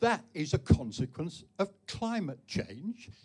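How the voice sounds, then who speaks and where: A man's somewhat breathy voice at a very slow pace, with very wide pitch swings. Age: 80s+. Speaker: debate panelist. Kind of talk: public debate. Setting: live debate event with audience.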